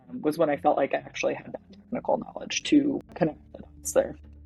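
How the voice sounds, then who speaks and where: Someone speaks with a Michigan accent. Music plays in the background. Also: woman. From Michigan, Detroit area. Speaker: perfumer, fragrance brand founder. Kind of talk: interview. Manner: casual, filler-heavy.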